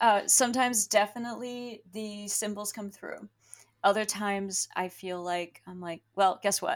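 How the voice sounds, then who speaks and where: A woman speaks in a normal speaking voice at a medium pitch. She keeps a moderate pace with ordinary pitch variation. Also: big swings in loudness. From Pennsylvania, US. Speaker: tea leaf reader and diviner. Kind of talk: interview.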